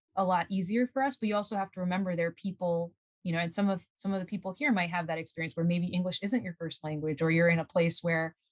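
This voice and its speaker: In a dry, close recording with no echo, a woman with a fairly low, somewhat breathy voice speaks with fairly even intonation. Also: very clean recording, silent background. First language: Spanish. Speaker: scientist. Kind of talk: interview. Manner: halting.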